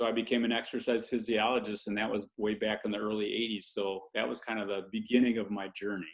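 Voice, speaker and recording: Fairly low in pitch, a man rattles along at a very fast pace with hardly any pauses and a monotone, flat intonation. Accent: American. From Michigan, US (Lansing). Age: 60s. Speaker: health and wellness speaker. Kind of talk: interview conversation.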